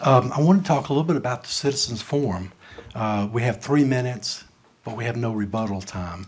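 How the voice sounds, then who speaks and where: A man speaks with a Southern US accent at medium pitch. His pace is fairly quick and his intonation lively. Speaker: citizen speaker at public forum. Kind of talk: public comment. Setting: council chamber. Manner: halting.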